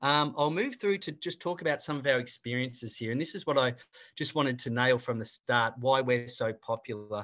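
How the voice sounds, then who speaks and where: A man with an Australian accent, medium pitch and a bright, sharp tone, at a fairly quick pace with ordinary pitch variation over a quiet background. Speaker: cruise line regional manager. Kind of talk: webinar presentation.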